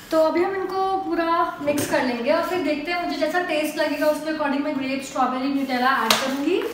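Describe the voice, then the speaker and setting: The speaker's fairly even intonation moves at a moderate pace, with audible room echo and noticeable background noise. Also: woman, high pitch for a woman. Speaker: food vlogger. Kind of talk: casual vlog chat. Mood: playful, cheerful. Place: kitchen. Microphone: phone near.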